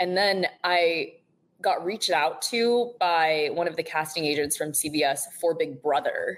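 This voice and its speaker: Her pitch sits fairly low for a woman, and she speaks at a fairly slow pace. The woman's loudness stays very even. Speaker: reality TV contestant. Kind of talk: casual chat. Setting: podcast. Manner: monotone.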